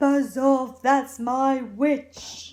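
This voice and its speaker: A put-on character voice, female-sounding and high-pitched for a woman, comes out shrill, growling and croaky. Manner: menacing.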